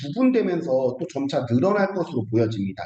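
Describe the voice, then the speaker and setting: Amid audible room echo, a man talks at a fairly quick pace with a fairly high pitch and very wide pitch swings. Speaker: startup funding consultant. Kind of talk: online seminar lecture. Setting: video call. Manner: halting, many fillers.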